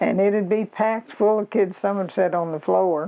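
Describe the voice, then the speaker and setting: This woman speaks with an Arkansas accent. Her intonation stays fairly even. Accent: Southern US (Arkansas). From Arkansas, US South. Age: 80s+. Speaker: local elder sharing oral history. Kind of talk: oral history interview.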